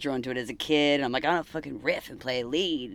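The voice has an Australian accent. It moves at a fairly quick pace. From rural Australia. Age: 30s. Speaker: punk band bassist. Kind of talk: casual interview chat. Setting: band van.

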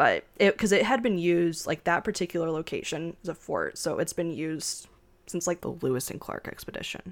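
A woman with an unremarkable speaking voice talks at a fairly quick pace, her pitch fairly low with ordinary variation. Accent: American. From US, Japanese American family. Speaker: podcast co-host. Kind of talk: casual chat.

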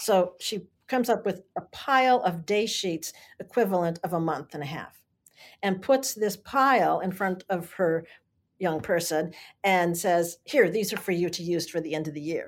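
In a very clean recording with a silent background, a woman with a plain, everyday voice speaks at a moderate pace in a medium pitch with ordinary pitch variation. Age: 60s. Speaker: learning coach and educator. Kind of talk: interview, explanatory conversation.

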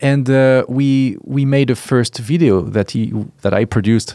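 With a French accent, a man speaks in a dark, mellow tone, the sound dry and close with no echo. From France. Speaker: startup founder. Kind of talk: interview. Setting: studio. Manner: halting.

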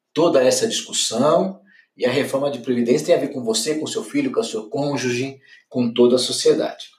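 With a Brazilian accent, a man talks at a fairly quick pace. His voice is fairly high and somewhat breathy. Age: 50s. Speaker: financial educator. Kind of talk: solo podcast commentary.

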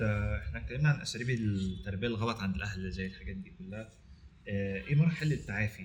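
Using vocal fry, a man talks at a fairly quick pace with very wide pitch swings and big swings in loudness. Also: fairly low pitch for a man. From Egypt. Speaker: podcast host. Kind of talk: casual chat.

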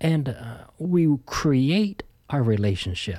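Talking at a very slow pace, a man uses a fairly high pitch. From Canada, Ontario. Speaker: pastor. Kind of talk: interview conversation.

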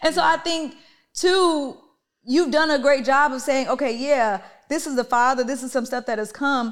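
Over a very clean recording with a silent background, a high-pitched woman speaks in an animated tone at a moderate pace with ordinary pitch variation. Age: 30s. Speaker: podcast host and entrepreneur. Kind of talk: family therapy conversation.

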